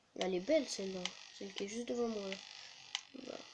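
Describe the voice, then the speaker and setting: A soft-spoken man talks at a fairly quick pace in a high pitch. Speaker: gaming youtuber. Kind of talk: gameplay commentary.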